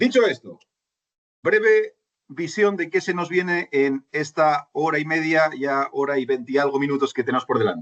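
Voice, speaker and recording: A man with a slight Chilean accent talks at a moderate pace, his fairly high voice full of lively intonation, captured with a dry, close sound and no echo. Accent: Spanish, slightly Chileanized. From Spain. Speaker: finance consultant and lecturer. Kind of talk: online lecture. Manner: conversational, with many fillers and restarts.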